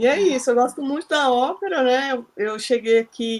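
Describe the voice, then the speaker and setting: A woman talks with a high pitch. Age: 40s. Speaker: psychologist, book club participant. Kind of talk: casual group discussion.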